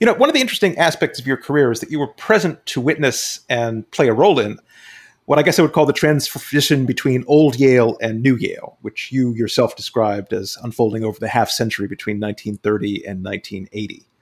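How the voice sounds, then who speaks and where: Lively intonation and a fairly quick pace in a normal speaking voice. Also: man, medium pitch for a man. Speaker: podcast host and author. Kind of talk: interview questions.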